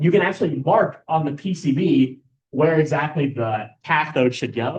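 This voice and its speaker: This man's voice is somewhat breathy and fairly high in pitch. His pitch varies in an ordinary way. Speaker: student workshop instructor. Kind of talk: lecture. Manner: fast.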